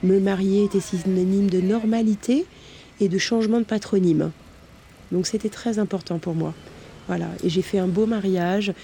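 A woman speaks with a somewhat breathy, dark, mellow tone at a medium pitch. Her pace is moderate, her intonation fairly even, and she leaves long, frequent pauses. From France, Versailles area. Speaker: abuse survivor telling her story. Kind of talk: testimony. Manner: hesitant, many fillers.

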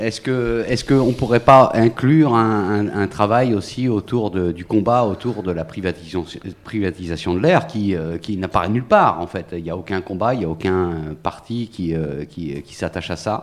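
Lively intonation marks this man's fairly low voice, which moves at a moderate pace with big swings in loudness. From Brittany, Finistère. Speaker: audience member, small-party activist. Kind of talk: audience question. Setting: public recording in a café courtyard.

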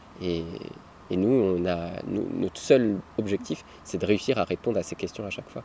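A man's fairly low voice with a dark, mellow tone, moderate in pace, with ordinary pitch variation. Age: 30s. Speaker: nomadic family father, traveller. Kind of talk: casual interview. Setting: outdoors by a river. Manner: halting, many repetitions.

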